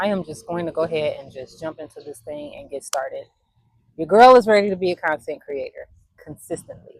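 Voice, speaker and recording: A normal speaking voice from a woman, medium in pitch, at a fairly quick pace. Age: 40s. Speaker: content creator and photographer. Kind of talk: casual vlog monologue.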